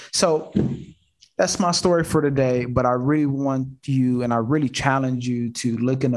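A man with an ordinary speaking voice, medium pitch and fairly even intonation. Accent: American. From Detroit and Houston, US. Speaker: real estate investor and show host. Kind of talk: casual live video call chat. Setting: video call from home office. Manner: rambling with many fillers.

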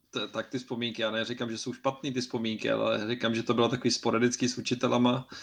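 Vocal fry runs through a monotone, flat intonation. The pace is very fast, with hardly any pauses. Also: man, medium pitch for a man. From Czech Republic. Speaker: podcast co-host. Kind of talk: casual chat. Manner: halting.

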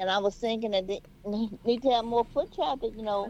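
Speaking in a Southern US accent, a woman has a fairly high pitch. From US South. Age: 70s. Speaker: caller. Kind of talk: call-in conversation. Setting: phone call.

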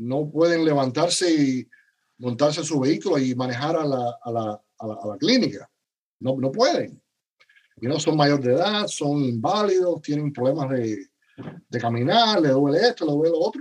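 At a moderate pace, a man with a fairly high pitch talks with lively intonation. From Cuba. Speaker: paramedic educator and physician. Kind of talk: interview. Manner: halting, many repeated words.

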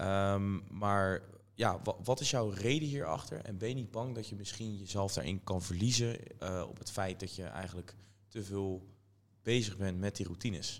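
A man with an ordinary speaking voice, fairly low pitch, ordinary pitch variation and a moderate pace. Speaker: podcast host. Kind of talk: casual interview.

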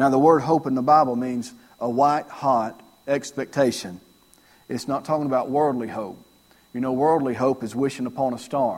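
A normal speaking voice from a man, medium in pitch, at a moderate pace with fairly even intonation. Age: 40s. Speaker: pastor. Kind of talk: sermon. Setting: church.

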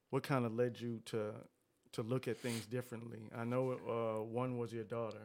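The man's medium-pitched delivery comes at a moderate speed, with monotone, flat intonation. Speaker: podcast host. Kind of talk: casual chat. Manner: casual, friendly, warm.

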